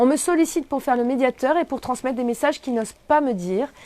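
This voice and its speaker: A woman's high voice moves at a fairly quick pace. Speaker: personal development coach. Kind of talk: live stream Q&A workshop. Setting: live video stream. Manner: fast.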